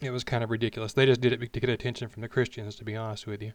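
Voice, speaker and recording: A man talks with an Alabama accent. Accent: Southern US (Alabama). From Alabama, US South. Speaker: podcast host. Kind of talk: personal monologue, unscripted. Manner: casual, unpolished with restarts.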